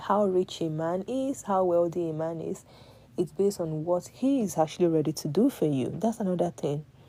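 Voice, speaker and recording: Quick-paced and lively in intonation, a woman with a Nigerian accent speaks in a dark, mellow tone at a fairly low pitch. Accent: Nigerian (Yoruba) English. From Nigeria, Yoruba. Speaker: live-stream host giving advice to women. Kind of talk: casual motivational talk to live audience. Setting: live stream.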